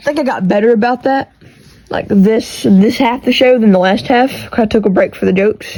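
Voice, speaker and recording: A woman's fairly high voice in a strong Texas accent, fairly quick, with ordinary pitch variation. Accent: thick country Texas. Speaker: podcast host. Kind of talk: casual monologue. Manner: casual, rambling. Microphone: AirPods and iPhone recording.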